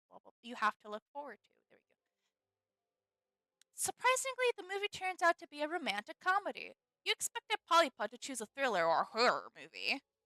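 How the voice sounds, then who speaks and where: A woman with an American accent speaks fairly quickly in a raised, projected voice, her bright, sharp tone swinging very widely in pitch, with a dry, close sound and no echo. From American Midwest. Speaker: streamer reading a game aloud. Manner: casual, self-correcting, joking.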